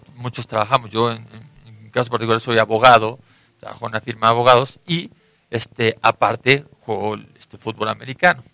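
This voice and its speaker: Fairly quick delivery in an ordinary speaking voice, intonation fairly even. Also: man, medium pitch for a man, big swings in loudness. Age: 30s. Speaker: American football player. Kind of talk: radio interview.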